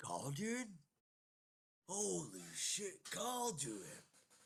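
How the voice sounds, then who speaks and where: A put-on character voice sits at a middle pitch. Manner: urgent, surprised call.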